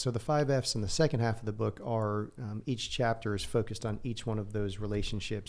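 An unremarkable speaking voice from a man with an American accent, medium pitch and a fairly quick pace, in a very clean recording with a silent background. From New Jersey, near New York City. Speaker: real estate investor and author. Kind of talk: casual interview. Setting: studio.

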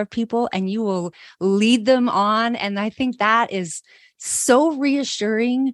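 A woman speaks at a fairly high pitch in an animated tone, with ordinary pitch variation. The recording is very clean, with a silent background and a dry, close sound with no echo. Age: 50s. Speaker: podcast host and teacher entrepreneur. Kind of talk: casual interview chat.

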